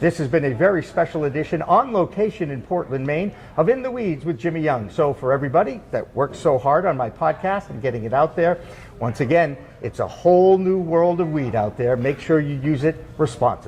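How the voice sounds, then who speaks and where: Over noticeable background noise, a man talks at a fairly quick pace with a fairly high pitch and lively intonation. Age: 60s. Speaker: podcast host, former broadcaster. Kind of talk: interview. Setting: on location at industry social.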